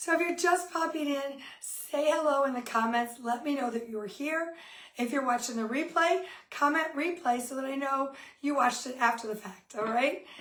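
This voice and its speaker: Audible room echo follows a woman who speaks at a moderate pace with a high pitch and ordinary pitch variation. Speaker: cooking demo host, kitchenware consultant. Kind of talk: live cooking demo. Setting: home kitchen, live stream. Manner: friendly, chatty.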